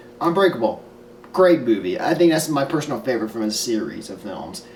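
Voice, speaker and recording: A man's fairly high, fairly quick voice with very wide pitch swings, audible room echo and noticeable background noise. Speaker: film reviewer. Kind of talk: casual vlog review.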